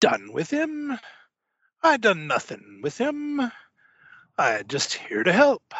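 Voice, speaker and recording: This is a put-on character voice at a fairly slow pace. Long, frequent pauses break up the lines. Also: man, extremely high pitch for a man. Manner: jovial, boisterous, evasive.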